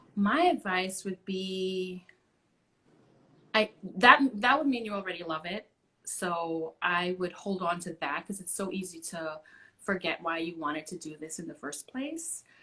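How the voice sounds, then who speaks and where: A woman's bright, sharp voice with lively intonation at a fairly slow pace. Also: medium pitch for a woman, big swings in loudness. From Trinidad and Tobago. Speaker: actor and singer. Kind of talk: casual interview. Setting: Instagram live stream. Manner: loud.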